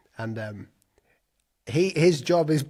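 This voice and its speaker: A man speaks with an English accent. The recording is very clean and the background silent. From England. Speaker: designer and YouTuber. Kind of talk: casual chat.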